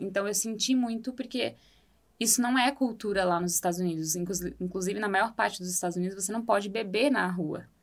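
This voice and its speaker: A woman talks in a normal speaking voice at a medium pitch and a moderate pace. The recording is very clean, with a silent background. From Brazil. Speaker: architect and former exchange student. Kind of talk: podcast interview.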